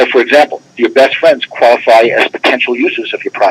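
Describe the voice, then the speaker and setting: The speaker goes at a fairly quick pace. The sound is dry and close, with no echo. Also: man. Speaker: tax expert presenter. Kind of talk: webinar presentation. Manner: fast; animated.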